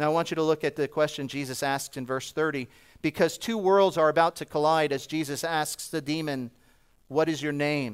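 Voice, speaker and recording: On a very clean recording with a silent background, a man with an American accent and an unremarkable speaking voice talks at a moderate pace with fairly high pitch and fairly even intonation. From New Jersey. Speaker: preacher and missionary. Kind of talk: sermon. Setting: church.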